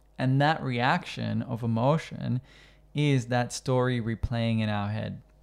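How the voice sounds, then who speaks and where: A man of medium pitch speaks at a fairly slow pace, keeping his intonation fairly even. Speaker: yoga teacher and podcast host. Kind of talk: casual podcast conversation. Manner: thoughtful, hesitant with filler words.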